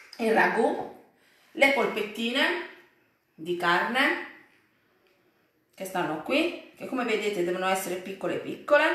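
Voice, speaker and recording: Amid audible room echo, a woman speaks at a fairly slow pace with long, frequent pauses. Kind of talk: cooking tutorial. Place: home room. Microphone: phone near.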